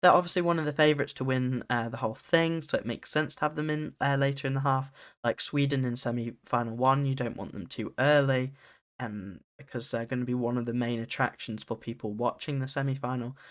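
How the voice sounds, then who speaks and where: With a British accent, a man talks at a very fast pace and fairly even intonation on a very clean recording with a silent background. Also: medium pitch for a man. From UK. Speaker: podcast host. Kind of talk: solo podcast analysis. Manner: casual, with frequent fillers.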